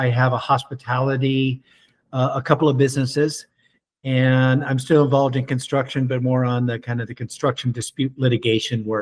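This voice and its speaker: The speaker's voice is somewhat breathy, with a fairly quick pace. The intonation stays monotone and flat. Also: man, medium pitch for a man. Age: 60s. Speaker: entrepreneur. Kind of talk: interview. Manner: halting, repeats words.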